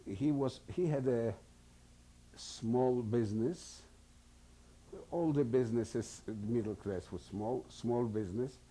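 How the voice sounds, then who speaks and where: At a fairly slow pace with long, frequent pauses, a man speaks with a dark, mellow tone, medium pitch and ordinary pitch variation. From Poland, Warsaw. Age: 70s. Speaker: Holocaust survivor. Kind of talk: testimony. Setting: recorded interview. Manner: halting.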